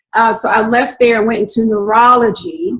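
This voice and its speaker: At a medium speed, a woman talks in a fairly high voice. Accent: Southern US. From North Carolina, US South (Raleigh-Durham). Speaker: registered nurse and business owner. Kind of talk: interview.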